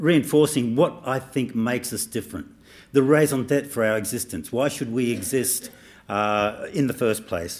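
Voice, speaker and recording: A man with an Australian accent at medium pitch and a moderate pace, very clean recording with a silent background. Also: ordinary pitch variation. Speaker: professor. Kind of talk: speech.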